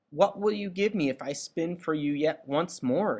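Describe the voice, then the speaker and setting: A man's put-on character voice, high-pitched and at a moderate pace. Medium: read story. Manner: sly, mischievous.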